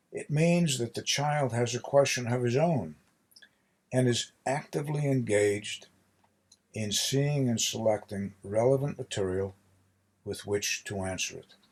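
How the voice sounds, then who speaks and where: A man speaks at a fairly slow pace and medium pitch, with long, frequent pauses. His voice is somewhat breathy. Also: ordinary pitch variation. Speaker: author. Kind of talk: audiobook reading of nonfiction.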